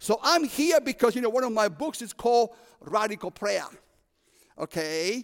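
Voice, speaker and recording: A man's high-pitched, animated voice with lively intonation and a Cuban accent, in a dry, close recording with no echo. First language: Spanish. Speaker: prison ministry preacher. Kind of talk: sermon. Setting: chapel service with audience.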